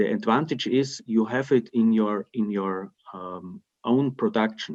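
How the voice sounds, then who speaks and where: The speech moves at a fairly slow pace with ordinary pitch variation over a quiet background. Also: man, medium pitch for a man. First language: German (Austrian dialect). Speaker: timber construction company representative; webinar panelist. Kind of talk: webinar Q&A. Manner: halting, many repetitions and fillers. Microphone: video call.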